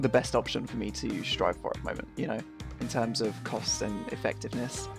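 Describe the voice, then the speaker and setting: With music in the background, a man speaks in a relaxed tone. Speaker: gamer. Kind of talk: casual gameplay commentary. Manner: casual, relaxed.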